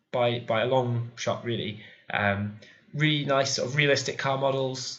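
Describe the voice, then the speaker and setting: A man with a British accent talks at a medium pitch with fairly even intonation. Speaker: video game YouTuber. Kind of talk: casual video countdown review. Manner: hesitant, many fillers.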